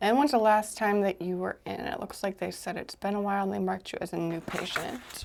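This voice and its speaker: The woman's voice sits at a medium pitch with fairly even intonation. She speaks at a fairly quick pace over noticeable background noise. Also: hardly any pauses. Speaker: chiropractor roleplay ASMR exam host. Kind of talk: real person ASMR roleplay, soft-spoken examination. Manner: soft-spoken, calm, whispered instructions.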